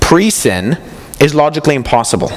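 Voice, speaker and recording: A man speaks with fairly high pitch and lively intonation, with noticeable background noise behind him. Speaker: apologetics speaker. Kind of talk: conference talk.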